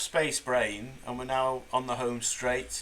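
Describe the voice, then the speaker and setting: A fairly slow voice with a Mancunian accent over noticeable background noise. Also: man. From Manchester, England. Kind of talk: casual podcast banter.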